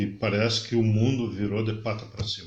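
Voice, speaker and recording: A man speaks in a somewhat breathy voice. The room echo is audible. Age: 60s. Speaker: podcast guest. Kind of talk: casual interview chat.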